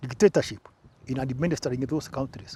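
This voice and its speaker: Here a man talks in a dark, mellow tone that is somewhat breathy. His pitch variation is ordinary. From Kenya, Embu. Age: 70s. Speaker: former presidential press secretary. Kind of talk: interview. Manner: halting.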